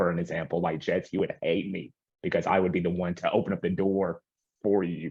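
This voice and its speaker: This man speaks with an American accent. He moves at a fairly quick pace. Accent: rural country. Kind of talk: group discussion. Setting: video call. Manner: halting.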